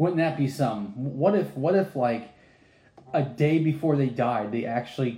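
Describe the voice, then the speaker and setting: A somewhat breathy voice with a dark, mellow tone at a fairly slow pace. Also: man. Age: 30s. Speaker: lay preacher. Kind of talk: bible study.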